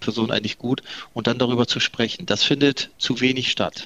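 A man at medium pitch talks at a fairly quick pace, the sound dry and close with no echo and noticeable background noise behind him. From northern Germany, Delmenhorst. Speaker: company managing director. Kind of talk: interview. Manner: hesitant, many fillers and repetitions.

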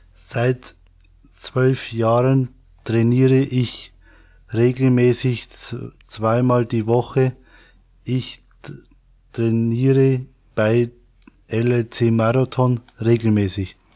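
In a very clean recording with a silent background, a man speaks at a very slow pace with long, frequent pauses. His dark, mellow tone stays monotone and flat, at very even loudness. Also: medium pitch for a man. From Bavaria, Regensburg area. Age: 30s. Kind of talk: interview. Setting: studio. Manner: halting.

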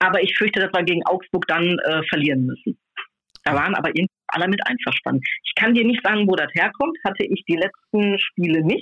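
A woman with an unremarkable speaking voice talks at a medium pitch. Her pace is fairly quick and her intonation lively. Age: 50s. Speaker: football fan magazine co-publisher. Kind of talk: casual chat. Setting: phone call.

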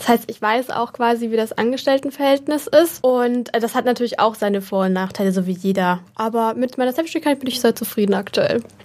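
A woman talks at a very fast pace with hardly any pauses. Her pitch is fairly high, and there is noticeable background noise. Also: ordinary pitch variation. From Germany, Würzburg (Lower Franconia). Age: 20s. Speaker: content creator and model. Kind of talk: casual interview chat.

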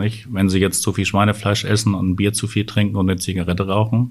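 A very clean recording with a silent background, featuring a man's very deep, low pitch. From northern Germany. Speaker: urologist. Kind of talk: interview.

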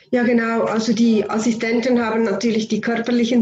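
A somewhat breathy woman's voice, fairly high in pitch, with monotone, flat intonation. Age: 50s. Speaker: homeopath and anaesthesia nurse. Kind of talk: interview.

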